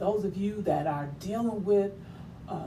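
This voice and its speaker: A woman speaks at a moderate pace with lively intonation, and the room echo is audible. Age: 60s. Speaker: talk show host and author. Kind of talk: inspirational monologue. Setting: livestream.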